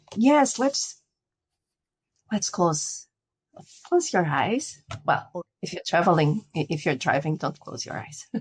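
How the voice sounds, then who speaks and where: In a very clean recording with a silent background, a woman with a fairly low, somewhat breathy voice speaks at a very slow pace, with long, frequent pauses, very wide pitch swings and big swings in loudness. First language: Portuguese. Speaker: spiritual guide. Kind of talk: interview; guided meditation. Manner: halting.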